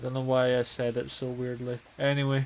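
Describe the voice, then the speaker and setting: A man with a Scottish accent at a fairly slow pace. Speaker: gaming streamer. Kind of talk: casual chat. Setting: live stream.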